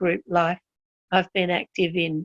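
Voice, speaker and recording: A woman with an Australian accent is recorded with a dry, close sound and no echo. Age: 70s. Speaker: health consumer. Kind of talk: interview testimony. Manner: structured, enumerated points.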